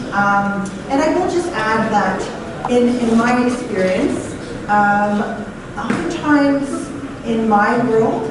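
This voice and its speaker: A woman at a fairly high pitch with ordinary pitch variation, very slow and very even in loudness, with audible room echo and noticeable background noise. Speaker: paralegal, audience member. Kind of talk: audience comment in Q&A.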